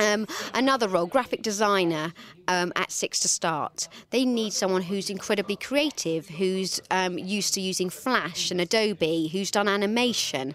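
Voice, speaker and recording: Speaking at a moderate speed, a woman has a normal speaking voice, medium pitch and ordinary pitch variation. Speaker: television channel talent head. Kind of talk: interview answers.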